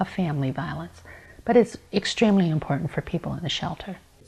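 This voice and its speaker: Fairly quick and somewhat breathy, a woman speaks with an American accent. Her pitch swings very widely. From Montana. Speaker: domestic violence advocate. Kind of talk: interview testimony. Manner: conversational, with fillers.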